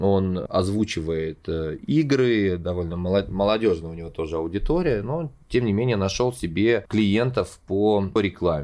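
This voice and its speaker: In a very clean recording with a silent background, a man with a dark, mellow tone and fairly low pitch speaks at a fairly slow pace with lively intonation. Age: 30s. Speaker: podcast host, showman and actor. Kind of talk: solo storytelling monologue. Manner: animated.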